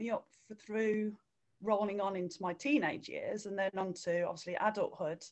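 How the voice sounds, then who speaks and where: With a West Midlands accent, a woman speaks at a moderate pace in a fairly high pitch. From English Midlands (Redditch, near Birmingham). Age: 40s. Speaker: runner and swimming instructor. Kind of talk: interview.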